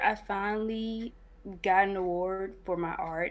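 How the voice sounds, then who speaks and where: At a very slow pace, a woman speaks in a medium pitch with ordinary pitch variation. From Cincinnati, Ohio. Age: 20s. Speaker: game developer. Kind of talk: interview. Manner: hesitant, many fillers.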